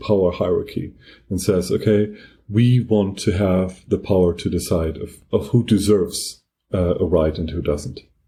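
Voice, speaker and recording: In a strong German accent, a man speaks at a fairly slow pace with a dark, mellow tone, somewhat breathy, with ordinary pitch variation. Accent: heavy German. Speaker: podcast co-host. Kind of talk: casual discussion.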